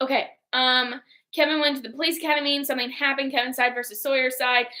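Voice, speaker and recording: Loud and at a very fast pace, a woman speaks in a high pitch with monotone, flat intonation. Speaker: book club podcast host. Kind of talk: casual chat.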